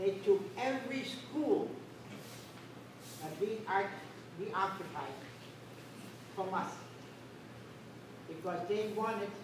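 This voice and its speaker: Speech comes at a very slow pace, broken by long, frequent pauses, with ordinary pitch variation. The room echo is audible and background noise is noticeable. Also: woman. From Netherlands. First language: Dutch. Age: 80s+. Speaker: war survivor. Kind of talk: personal testimony at a school event. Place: hall. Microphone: camera far.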